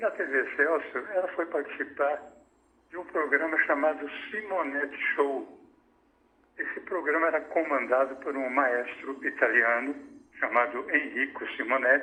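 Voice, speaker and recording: Noticeable background noise sits under this recording. A man speaks at a fairly high pitch and fairly slow pace, with ordinary pitch variation. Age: 70s. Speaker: tv comedy writer. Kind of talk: interview.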